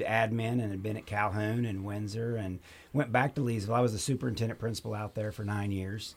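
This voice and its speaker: This man has an unremarkable speaking voice, fairly low in pitch, and talks at a fairly quick pace with fairly even intonation. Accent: American. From Oklahoma. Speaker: assistant school superintendent. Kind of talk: casual chat.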